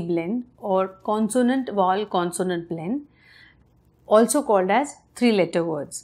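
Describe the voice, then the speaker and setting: A woman talks at a fairly slow pace. She speaks with an Indian accent. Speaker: parent giving reading lessons. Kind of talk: tutorial.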